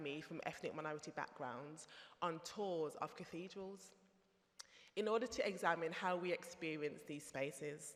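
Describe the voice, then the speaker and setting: A woman's fairly low voice with a Birmingham accent and ordinary pitch variation. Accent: Brummie. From Birmingham, England. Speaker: theologian. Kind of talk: conference talk.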